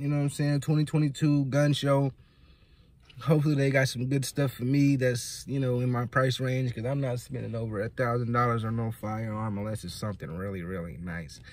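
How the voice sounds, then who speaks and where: This man speaks at a moderate pace with ordinary pitch variation, and the sound is dry with no echo. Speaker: vlogger. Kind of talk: casual vlog chat. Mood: relaxed, playful, laughing. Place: car. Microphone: phone near.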